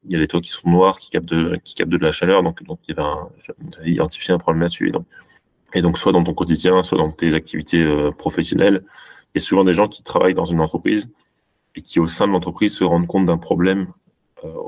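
Talking very fast yet with long, frequent pauses, a man speaks at a very deep, low pitch with fairly even intonation and big swings in loudness. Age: 30s. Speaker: company co-founder and CEO. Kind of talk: interview. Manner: halting.

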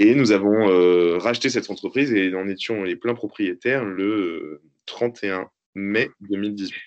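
Speaking at a very slow pace, a man uses a fairly low pitch with ordinary variation. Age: 30s. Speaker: entrepreneur, company owner. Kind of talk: interview.

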